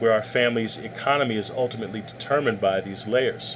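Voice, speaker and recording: A man's voice at medium pitch, with noticeable background noise. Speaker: college professor. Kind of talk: lecture. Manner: fast.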